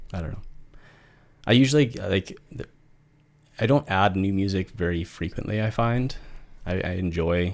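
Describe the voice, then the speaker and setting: With a fairly low pitch and ordinary pitch variation, a man speaks at a moderate pace, leaving long, frequent pauses. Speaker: podcast co-host. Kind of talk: casual chat. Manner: halting, fumbling over words.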